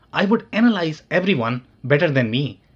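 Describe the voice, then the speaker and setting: Talking at a moderate speed, a man with a somewhat breathy voice lets his pitch swing very widely. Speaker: podcast host and consultant. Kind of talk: scripted podcast intro, personal story.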